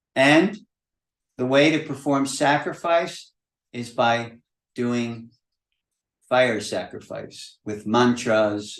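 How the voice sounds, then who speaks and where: Amid audible room echo, a man at medium pitch speaks at a very slow pace with long, frequent pauses and ordinary pitch variation. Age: 70s. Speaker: spiritual teacher. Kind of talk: lecture. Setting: video call. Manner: conversational.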